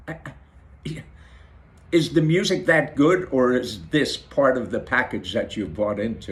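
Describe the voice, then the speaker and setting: A man speaks at a fairly slow pace with vocal fry and very wide pitch swings. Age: 60s. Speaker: video blogger. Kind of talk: casual monologue to camera. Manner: halting, repeats words.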